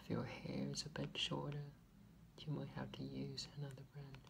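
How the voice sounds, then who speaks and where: A man speaks in a relaxed tone. Noticeable background noise is present. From Taiwan. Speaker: ASMR creator. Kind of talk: ASMR soft-spoken chat to camera. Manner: soft-spoken, relaxed. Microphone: phone near.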